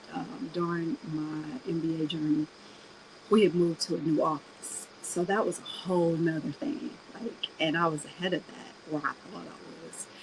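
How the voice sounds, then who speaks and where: Fairly low in pitch, a woman speaks at a moderate pace with ordinary pitch variation and big swings in loudness, over noticeable background noise. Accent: American. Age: 40s. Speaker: podcast host. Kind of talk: casual personal monologue. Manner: animated.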